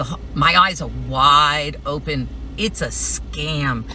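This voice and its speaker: Noticeable noise surrounds a female speaker who talks very slowly. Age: 60s. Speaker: substitute teacher, political canvasser. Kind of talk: casual talk to camera.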